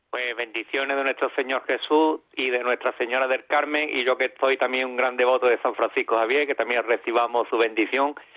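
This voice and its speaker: A man talks at a fairly quick pace with hardly any pauses. His pitch is medium and his intonation is monotone and flat. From Ceuta. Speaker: caller. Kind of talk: phone-in chat.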